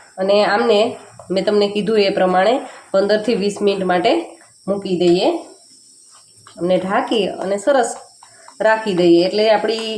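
Medium-pitched woman's voice, fairly even intonation, with audible room echo and noticeable background noise. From Junagadh, Gujarat, India. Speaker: cooking YouTuber. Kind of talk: cooking tutorial.

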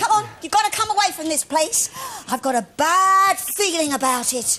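Here is a put-on character voice with a bright, sharp tone. It moves at a moderate pace with lively intonation. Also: woman, extremely high pitch for a woman.

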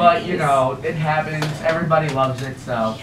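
Putting on a strained character voice at a fairly high pitch, a man speaks at a fairly quick pace amid loud background noise and a slight echo.

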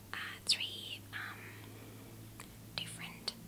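A soft-spoken woman whispers at a very slow pace. Loud background noise is present. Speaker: vlogger. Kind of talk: casual vlog chat. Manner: soft hesitant ASMR whisper. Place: home room. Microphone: webcam.

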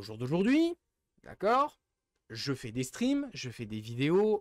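The speaker has an animated tone and a moderate pace, with a dry sound with no echo and a quiet background. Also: man. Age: 20s. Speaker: streamer. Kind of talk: livestream rant. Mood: frustrated, fed up. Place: home room. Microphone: studio mic.

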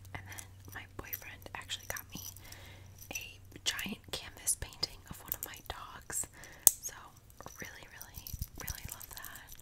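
A soft-spoken woman whispering, with long, frequent pauses. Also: fairly slow pace. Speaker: beauty vlogger. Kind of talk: casual vlog chat. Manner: soft close ASMR whisper. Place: home room. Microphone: earbuds.

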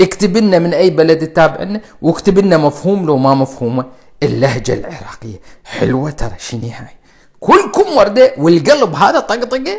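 A man with an Iraqi accent, high-pitched and animated in tone, with very wide pitch swings at a moderate pace over a quiet background. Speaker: cardiologist. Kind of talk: live stream health talk. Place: home room. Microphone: lapel.

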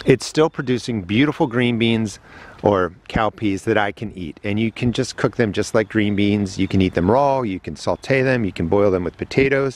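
A man in an ordinary speaking voice talks at a fairly low pitch and a moderate pace, with ordinary pitch variation and a dry sound with no echo. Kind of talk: tutorial. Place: garden. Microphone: phone near.

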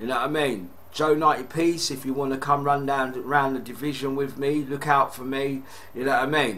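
A man with a British accent speaks at a moderate pace in a fairly high pitch. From UK. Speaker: gaming YouTuber. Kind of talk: casual unboxing vlog. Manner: excitable. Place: home room. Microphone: webcam.

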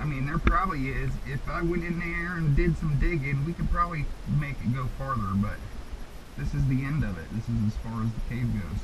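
Amid noticeable background noise, a man talks at a fairly quick pace. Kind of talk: casual instruction to children. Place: tunnel cave. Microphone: helmet.

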